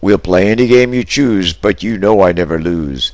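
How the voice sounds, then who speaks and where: Using a drawling, put-on character voice, the speaker moves at a moderate pace with lively intonation. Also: man, fairly low pitch for a man. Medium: read story. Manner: calm, friendly drawl.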